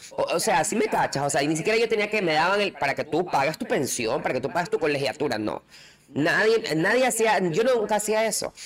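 The speech moves at a fairly quick pace with very wide pitch swings. Noticeable background noise is present. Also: woman. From coastal Ecuador. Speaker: podcast co-host. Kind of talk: casual chat.

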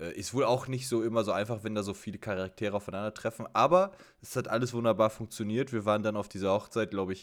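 A normal speaking voice at a fairly quick pace. The intonation stays fairly even. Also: man. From Germany. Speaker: podcast co-host. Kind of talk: casual chat. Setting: remote call.

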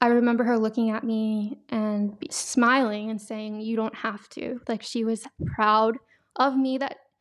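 Her pitch is fairly high, and this woman has an ordinary speaking voice. She speaks at a fairly slow pace with fairly even intonation. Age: 20s. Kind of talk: testimony. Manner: casual, frequent laughs and fillers.

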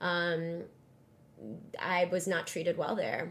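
A woman speaks slowly, her pitch fairly low. Her pitch moves very little.

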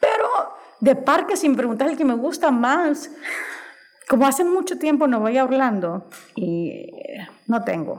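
Through audible room echo and noticeable background noise, a woman with a Honduran accent speaks at a fairly slow pace with long, frequent pauses, her high pitch moving in very wide swings. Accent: Honduran Spanish, voseo. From Honduras. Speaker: podcast guest. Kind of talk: casual chat.

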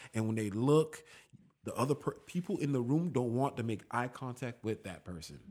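A man talks at a moderate pace with lively intonation and medium pitch. He has an ordinary speaking voice. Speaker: actor. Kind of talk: casual chat.

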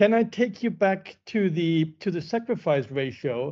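A man with a German accent talks at a fairly slow pace using lively intonation. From Germany. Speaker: central bank research economist, podcast host. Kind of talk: interview. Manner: halting, many fillers.

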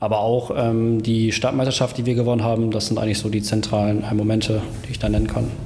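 A man's fairly low, monotone voice at a very fast pace, with flat intonation, noticeable background noise and audible room echo. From Wilhelmshaven, northern Germany. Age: 20s. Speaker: amateur football player. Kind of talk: interview.

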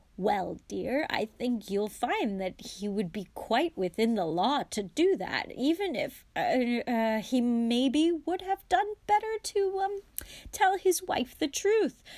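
A woman puts on a character voice, fairly high in pitch with a slightly mellow tone. She speaks slowly with lively intonation.

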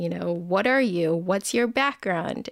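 A woman with a West Coast US accent speaks at a medium pitch on a very clean recording with a silent background. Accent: General American, West Coast. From US, Bay Area, Northern California. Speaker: photographer. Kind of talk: interview conversation.

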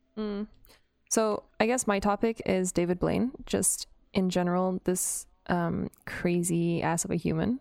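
A woman speaks in an ordinary speaking voice at a fairly slow pace, her pitch medium, with a Canadian accent. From Canada. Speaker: TikTok creator. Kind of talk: casual chat. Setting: remote call. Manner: giggly.

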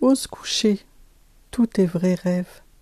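A woman speaks at a very slow pace in a somewhat breathy voice with a dark, mellow tone and ordinary pitch variation, with a dry, close sound and no echo. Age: 50s. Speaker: life coach and podcast host. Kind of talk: solo podcast monologue.

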